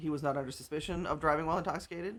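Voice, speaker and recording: In an American accent, a woman speaks with a very deep, low pitch and ordinary pitch variation. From US Midwest, Omaha, Nebraska. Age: 50s. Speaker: social media commentator. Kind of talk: casual monologue. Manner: animated.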